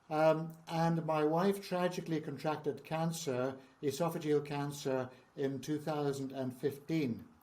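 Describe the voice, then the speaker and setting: In a Northern Irish accent, a man speaks fairly slowly, his fairly high pitch held in fairly even intonation. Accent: Northern Irish (Belfast). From Northern Ireland, Belfast. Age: 70s. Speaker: founder of a trauma charity. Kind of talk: interview.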